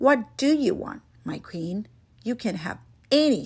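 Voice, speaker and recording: A woman growls through a put-on character voice at a fairly slow pace, her fairly high pitch swinging very widely and her loudness rising and falling a lot. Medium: read story. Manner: commanding, loud when angry.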